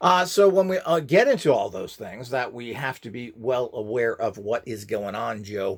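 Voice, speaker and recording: On a very clean recording with a silent background, a man of medium pitch talks at a moderate pace with hardly any pauses, very wide pitch swings and big swings in loudness. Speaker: channel host demonstrating esoteric tools. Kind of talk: casual video monologue with channel promotion. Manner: hesitant, many filler words.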